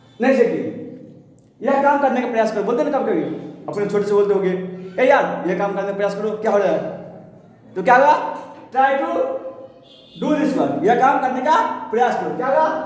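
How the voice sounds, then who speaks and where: With an extremely high pitch and lively intonation, a man speaks at a moderate pace with long, frequent pauses, amid audible room echo and noticeable background noise. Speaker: English teacher. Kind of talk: tutorial.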